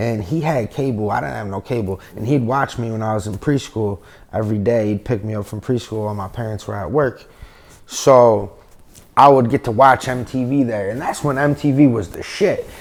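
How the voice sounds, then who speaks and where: The speaker has an upstate New York accent and ordinary pitch variation. The pace is moderate. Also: man, medium pitch for a man. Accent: upstate New York American. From upstate New York, Binghamton area. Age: 30s. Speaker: rapper. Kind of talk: casual interview.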